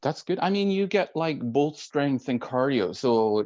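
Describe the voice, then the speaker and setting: A man with a Norwegian accent at a moderate pace, his pitch swinging very widely. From Norway. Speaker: IT worker. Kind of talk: casual chat. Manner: halting.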